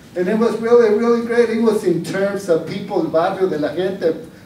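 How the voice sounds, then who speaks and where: The speaker talks at a moderate pace with ordinary pitch variation, with audible room echo and light background noise. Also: man. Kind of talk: storytelling at a panel discussion. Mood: warm, nostalgic. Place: hall.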